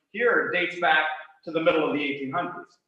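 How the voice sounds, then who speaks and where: Audible room echo surrounds a man with an American accent. He speaks fairly quickly at a high pitch. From western Pennsylvania, Cambria County. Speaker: author and college teacher. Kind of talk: lecture. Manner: frequent filler uh.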